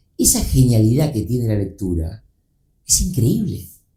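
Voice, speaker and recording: This man's voice has a dark, mellow tone with vocal fry. He moves at a moderate pace, and his pitch swings very widely. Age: 60s. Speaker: book publisher. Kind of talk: casual chat. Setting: studio.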